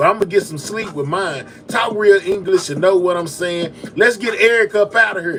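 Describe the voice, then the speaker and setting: An animated man with a Texas accent talks over noticeable background noise. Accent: Texas speech, criticized by chat. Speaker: live-stream news commentator. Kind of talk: casual live-stream chat, sign-off. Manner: casual, animated.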